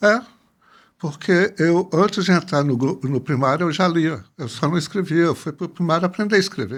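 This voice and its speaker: The recording is very clean, with a silent background. A man speaks at a moderate pace and a high pitch, with ordinary pitch variation. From northern Minas Gerais, Brazil (Jequitaí, Montes Claros). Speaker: anthropologist. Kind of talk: interview.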